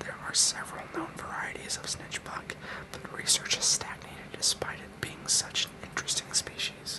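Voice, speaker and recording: A man whispers at a moderate pace with big swings in loudness, against noticeable background noise. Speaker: ASMR creator. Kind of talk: ASMR reading of game creature entries. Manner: whispered.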